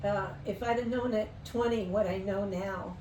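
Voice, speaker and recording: A woman speaks at a medium pitch with ordinary pitch variation. Audible room echo and noticeable background noise surround her voice. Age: 70s. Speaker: interview guest sharing life story. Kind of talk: casual interview chat.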